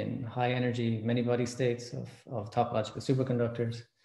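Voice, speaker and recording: A man at a fairly quick pace, with audible room echo. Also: quiet background. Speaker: speaker. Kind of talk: lecture. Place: home room. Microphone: webcam.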